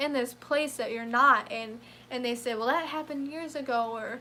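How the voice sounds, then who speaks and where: A woman with a high pitch talks at a fairly quick pace in a bright, sharp tone. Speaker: vlogger. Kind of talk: live stream monologue. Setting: home computer room. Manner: halting, repetitive stuttering.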